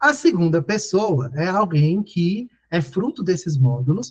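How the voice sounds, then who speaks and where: Lively in intonation, a man speaks at a high pitch. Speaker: teacher for public exam preparation. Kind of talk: online lecture. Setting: live video call class. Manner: fast.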